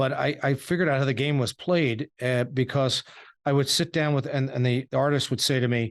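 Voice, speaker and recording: A man with a New York accent talks at a fairly quick pace and medium pitch. His intonation is fairly even, and the background is quiet. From Suffolk, New York. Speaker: podcast host. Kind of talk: interview.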